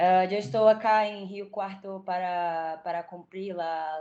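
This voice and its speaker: A woman with a Brazilian accent speaks in a fairly low voice with a dark, mellow tone. Her intonation stays fairly even. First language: Portuguese (speaking Spanish). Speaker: doctoral student. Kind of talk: self-introduction in online workshop. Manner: halting.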